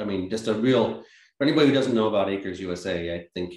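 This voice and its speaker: A man speaks with an American accent and lively intonation at a fairly quick pace. His is an ordinary speaking voice. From Massachusetts, US. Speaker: organic farmer and nonprofit director. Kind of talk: interview.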